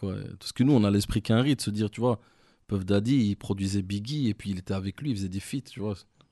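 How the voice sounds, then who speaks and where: This man talks very fast with a fairly low pitch, a dark, mellow tone and ordinary pitch variation. The sound is dry and close with no echo, against a quiet background. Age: 30s. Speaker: rap manager and former rapper. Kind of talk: casual interview.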